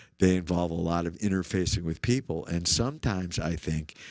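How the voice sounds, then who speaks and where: Very deep and low in pitch, a man with an American accent speaks at a fairly slow pace. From US Northeast (Syracuse, upstate New York). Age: 60s. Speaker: musician. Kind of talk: casual chat. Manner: animated.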